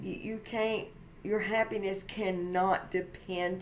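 A woman speaks at a very slow pace in a fairly low pitch. Light background noise is audible. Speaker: faith vlogger. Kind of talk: casual vlog sermon-like chat. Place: home room. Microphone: webcam.

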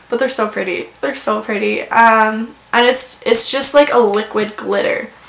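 There is audible room echo around a woman's fairly high voice. She speaks at a moderate pace with ordinary pitch variation. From rural farm area. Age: 20s. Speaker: beauty vlogger. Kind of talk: casual product review monologue. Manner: chatty, many fillers. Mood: cheerful, enthusiastic. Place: home room.

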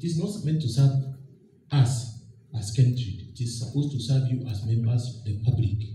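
At a moderate pace, a man with a medium-pitched, dark, mellow and somewhat breathy voice speaks with ordinary pitch variation, with audible room echo and light background noise. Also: big swings in loudness. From Kenya. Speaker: board chairman of a public agency. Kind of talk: formal public speech. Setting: public forum with audience and microphone. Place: hall. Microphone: podium.

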